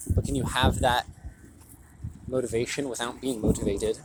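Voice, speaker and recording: Noticeable background noise sits behind a man speaking at a fairly quick pace and medium pitch. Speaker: vlogger. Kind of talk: walking vlog monologue. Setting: outdoors, walking home. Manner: halting; louder than usual to reach the mic.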